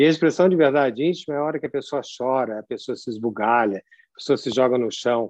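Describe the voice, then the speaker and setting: This man races along at a very fast pace. The background is quiet, and the sound is dry and close with no echo. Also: medium pitch for a man, ordinary pitch variation. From São Paulo, Brazil. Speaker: lecturer. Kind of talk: lecture. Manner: animated.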